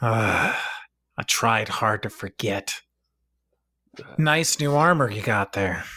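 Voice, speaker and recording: Using a put-on character voice at a medium pitch, a man speaks very slowly with long, frequent pauses. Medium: actual play. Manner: terse, guarded.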